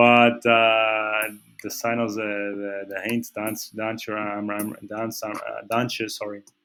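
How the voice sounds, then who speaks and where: A man's fairly low voice at a very slow pace, flat and monotone in intonation. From Portugal. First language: Portuguese. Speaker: trading analyst. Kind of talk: technical analysis commentary. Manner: halting, many fillers and repetitions.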